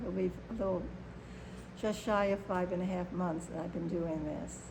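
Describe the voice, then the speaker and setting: A woman with an American accent, medium pitch, and vocal fry. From Chicago, Illinois. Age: 70s. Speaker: activist and performer. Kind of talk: interview answer.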